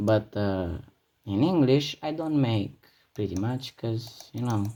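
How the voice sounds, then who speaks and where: The speaker, with a Romanian accent, talks at a very slow pace. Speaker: gaming youtuber. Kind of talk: gameplay commentary. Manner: halting; animated.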